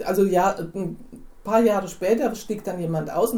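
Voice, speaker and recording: A woman's dark, mellow voice with vocal fry and ordinary pitch variation, in a room with audible echo. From Hinterland region of Hesse, Germany. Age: 60s. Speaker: church member, wife in an intercultural marriage. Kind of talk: interview.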